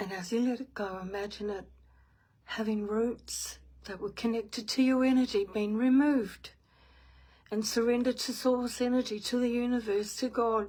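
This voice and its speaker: A woman with a New Zealand accent speaks at a moderate pace in a fairly high pitch, her intonation fairly even. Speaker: spiritual medium. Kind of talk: guided meditation; casual live stream chat. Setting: live stream.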